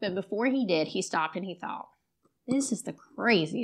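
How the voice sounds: Over a quiet background, a natural reading voice carries lively intonation.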